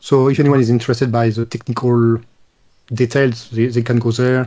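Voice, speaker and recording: In a French accent, the speaker talks in a flat monotone with a dark, mellow tone. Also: man. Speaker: retired game developer. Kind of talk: interview.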